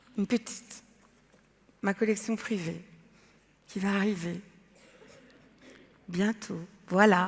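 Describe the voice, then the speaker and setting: Pausing long and often, a woman speaks at a very slow pace in a monotone, flat intonation. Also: medium pitch for a woman. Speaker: artist and entrepreneur. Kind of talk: talk to a forum audience. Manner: loud, emphatic.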